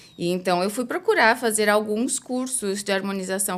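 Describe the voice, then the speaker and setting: Fairly slow and bright, sharp in tone, a woman speaks. The recording is very clean, with a silent background. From Brazil. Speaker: dentist. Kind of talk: interview.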